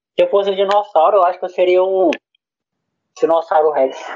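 This is a man with a high voice. His pitch varies an ordinary amount. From Brazil, Acre. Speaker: podcaster. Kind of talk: casual chat.

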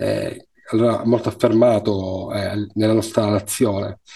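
This man's voice is medium in pitch, with a dark, mellow tone. His intonation is monotone and flat. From Sicily, Palermo. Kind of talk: interview conversation.

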